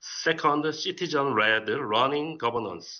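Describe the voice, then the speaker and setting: At a very slow pace, a man speaks with a Korean accent and ordinary pitch variation. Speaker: city official. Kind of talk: prepared presentation. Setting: video call. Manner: halting.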